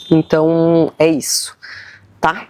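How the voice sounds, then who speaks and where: Dark, mellow tones from a woman, dry and close with no echo. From southern Brazil, Uruguaiana, Rio Grande do Sul border. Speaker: podcaster. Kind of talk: solo podcast monologue. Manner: casual, many fillers and self-corrections.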